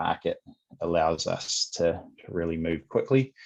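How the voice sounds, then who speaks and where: A man with a New Zealand accent speaks at a moderate pace. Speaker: sales executive at a software company. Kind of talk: podcast interview. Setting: remote call.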